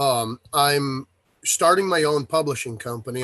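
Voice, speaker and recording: In a plain, everyday voice, a man talks at a moderate pace with lively intonation, the sound dry and close with no echo. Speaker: author and publisher. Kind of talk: casual chat.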